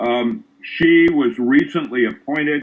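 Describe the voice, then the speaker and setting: Pitch swings very widely as a man speaks. His pace is very slow. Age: 70s. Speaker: physicist. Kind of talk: video call panel discussion.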